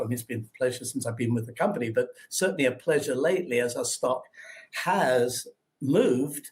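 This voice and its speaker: Speaking at a moderate pace with an English accent, a man has a fairly high, somewhat breathy voice and ordinary pitch variation. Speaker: investor relations, former stockbroker. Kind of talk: investor webinar Q&A. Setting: online webinar.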